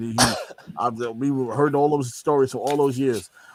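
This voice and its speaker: Here a man speaks with a New York accent at a moderate pace. His pitch is medium, with ordinary variation. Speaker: wrestling podcast co-host. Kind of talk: casual chat. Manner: animated.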